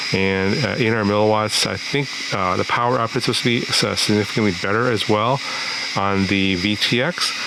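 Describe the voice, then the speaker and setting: Speaking at a fairly quick pace, a man has a fairly low pitch and fairly even intonation. Audible room echo and noticeable background noise run through the recording. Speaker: FPV drone hardware reviewer. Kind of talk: product review. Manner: hesitant, many fillers.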